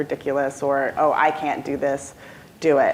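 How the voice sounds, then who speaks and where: Noticeable background noise accompanies a woman talking at a moderate pace. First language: non-English. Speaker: alumna panelist. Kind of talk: panel discussion. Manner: halting, many fillers.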